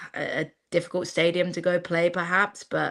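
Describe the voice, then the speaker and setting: In a very clean recording with a silent background, a woman with an English accent speaks at a fairly quick pace with a fairly low pitch. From England. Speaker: football commentator. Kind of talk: casual chat.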